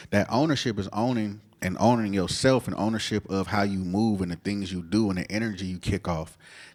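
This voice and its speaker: A man speaks at a fairly quick pace with hardly any pauses, his fairly low pitch carrying fairly even intonation over a very clean recording with a silent background. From US West Coast, Oakland, California. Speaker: cannabis dispensary owner. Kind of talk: interview conversation. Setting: studio with live audience. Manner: casual.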